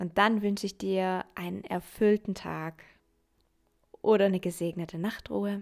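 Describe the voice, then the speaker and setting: At a fairly slow pace, a woman with a medium pitch speaks in a soothing tone with monotone, flat intonation, big swings in loudness and long, frequent pauses. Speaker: meditation guide. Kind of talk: guided meditation. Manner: slow, soothing; gentle, calm, dreamy.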